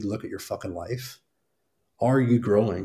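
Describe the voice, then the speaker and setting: A man speaks at a medium pitch in a somewhat breathy voice. His pace is fairly quick, and his pitch varies an ordinary amount. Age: 30s. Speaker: fitness business mentor. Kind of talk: interview.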